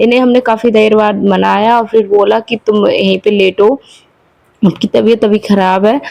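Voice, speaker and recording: A woman's fairly high voice with a dark, mellow tone, fairly even intonation and a dry, close sound with no echo. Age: 20s. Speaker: homemaker vlogger. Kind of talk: casual vlog talk. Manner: hesitant fillers.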